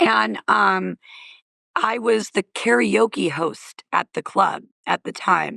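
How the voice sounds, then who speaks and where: Recorded with a dry, close sound and no echo, a woman talks at a very slow pace. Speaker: comedian and comedy club owner. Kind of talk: casual chat. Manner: animated.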